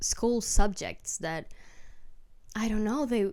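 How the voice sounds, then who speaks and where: A woman with a non-native accent talks at a fairly slow pace, her fairly high voice making very wide pitch swings. The recording is very clean, with a silent background. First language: not English. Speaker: book vlogger. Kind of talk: casual chat. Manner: rambling, halting.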